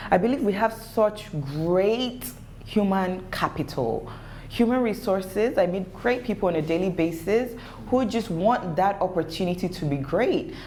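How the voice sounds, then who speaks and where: Over noticeable background noise, a woman speaks at a moderate pace in a medium pitch, animated in tone with lively intonation. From Nigeria (Lagos). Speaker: entrepreneur. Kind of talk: interview. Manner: pitch rises when passionate.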